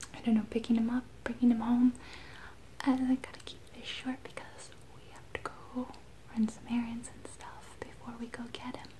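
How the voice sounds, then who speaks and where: A whispered voice at a moderate pace, with big swings in loudness. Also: woman. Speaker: ASMR vlogger. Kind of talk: casual vlog chat, soft-spoken. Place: home room. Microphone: phone near.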